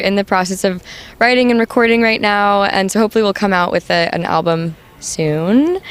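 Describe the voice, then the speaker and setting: Against noticeable background noise, a woman with a medium pitch speaks at a moderate pace with lively intonation. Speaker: punk band singer. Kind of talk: casual interview. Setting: live music venue.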